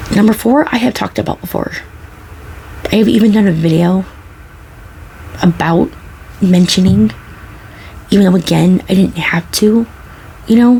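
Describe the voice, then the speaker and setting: Soft-spoken and relaxed in tone, a woman of medium pitch talks at a moderate pace with ordinary pitch variation and long, frequent pauses, with noticeable background noise behind her. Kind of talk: soft-spoken ASMR talk to camera. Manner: soft-spoken, relaxed, conversational.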